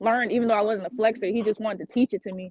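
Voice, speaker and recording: A woman's unremarkable speaking voice, fairly high in pitch, with ordinary pitch variation. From Florida, Fort Lauderdale. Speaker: dancer. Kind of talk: casual interview.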